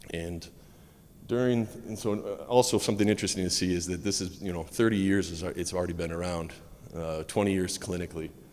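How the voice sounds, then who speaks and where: A man's very deep, low voice with an American accent, fairly quick and fairly even in intonation, with audible room echo. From United States. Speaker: medical physicist, conference speaker. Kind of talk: conference talk. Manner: fast.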